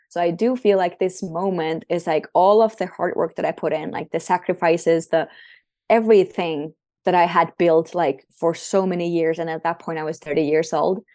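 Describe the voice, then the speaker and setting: Against a quiet background, a woman with a Finnish accent speaks at a moderate pace in a fairly low pitch, her tone dark and mellow and her intonation fairly even. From Finland. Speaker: breathwork coach and former volleyball player. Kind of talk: casual interview.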